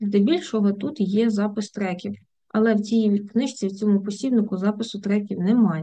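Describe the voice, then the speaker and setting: Her voice is dark, mellow and somewhat breathy, at a medium pitch for a woman. The woman keeps a moderate pace and fairly even intonation. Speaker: German language teacher. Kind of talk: tutorial. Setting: video lesson with screen sharing.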